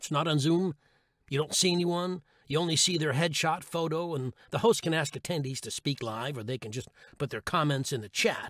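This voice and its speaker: On a very clean recording with a silent background and a dry, close sound with no echo, a man talks at a fairly quick pace in a normal speaking voice, fairly high in pitch with ordinary pitch variation. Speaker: audiobook narrator. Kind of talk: humorous blog read. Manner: comedic, wry.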